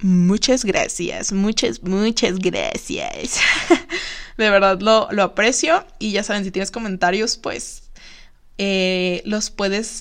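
A woman with a Mexican accent speaks at a very slow pace and a medium pitch, with ordinary pitch variation. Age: 20s. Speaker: podcast host, psychology student. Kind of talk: casual solo podcast monologue. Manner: chatty, frequent laughter.

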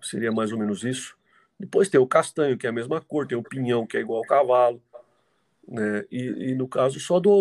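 At a moderate pace, a man speaks at a medium pitch on a very clean recording with a silent background. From Jundiaí, São Paulo state, Brazil. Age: 50s. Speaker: mule and donkey breeder. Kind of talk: casual interview. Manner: halting, with repetitions.

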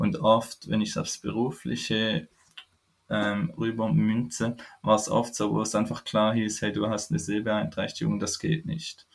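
A man with an unremarkable speaking voice talks at a fairly slow pace and fairly low pitch, with ordinary pitch variation. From Switzerland. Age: 20s. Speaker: foundation employee living with chronic illness. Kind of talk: interview, personal story. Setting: remote call.

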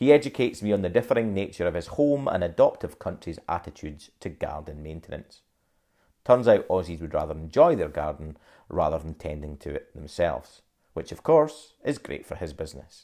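A man with a Scottish accent speaks at a fairly quick pace in a very deep, low voice with a dark, mellow tone, his pitch swinging very widely and his loudness shifting a lot. The recording is very clean, with a silent background. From Scotland, Dundee. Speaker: podcaster and creative business owner. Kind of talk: personal storytelling monologue. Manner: conversational.

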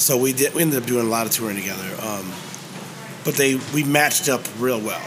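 A medium-pitched man with an American accent, fairly quick in pace with ordinary pitch variation, over noticeable background noise. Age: 50s. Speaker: musician and restaurant owner. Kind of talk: interview. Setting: hot dog shop.

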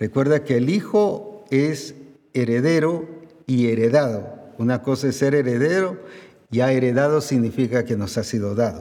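With a dark, mellow tone and medium pitch, a man speaks at a moderate pace using lively intonation. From Guatemala. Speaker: pastor. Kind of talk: sermon.

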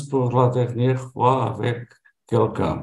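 A man talks at a very slow pace. His voice is somewhat breathy, with audible room echo. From Portugal. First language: Portuguese (speaking French). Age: 70s. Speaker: retiree, language learner. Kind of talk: conversation practice. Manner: halting, many hesitations.

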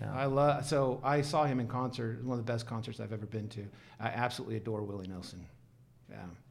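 Very fast speech from a man at a medium pitch, with ordinary pitch variation and audible room echo. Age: 50s. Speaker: HR and compensation consultant. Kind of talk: casual chat.

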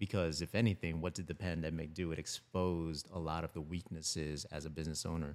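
Very fast and in a flat monotone, a man with a General American accent speaks at a very deep, low pitch. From Philippines, raised in Florida. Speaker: filmmaker and creative director. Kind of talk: casual podcast conversation.

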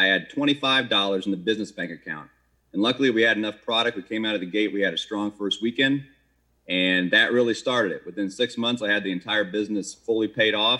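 This man has an unremarkable speaking voice with an American accent, a fairly low pitch, ordinary pitch variation and a fairly quick pace. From Maryland. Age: 40s. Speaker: city council candidate, restaurateur. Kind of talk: candidate forum answers.

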